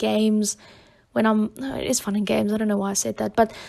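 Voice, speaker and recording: A woman's fairly high-pitched voice with a South African accent at a moderate pace. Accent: Afrikaans-accented English. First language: Afrikaans. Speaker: YouTube Sims builder. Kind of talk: voiceover commentary. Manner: hesitant, many fillers.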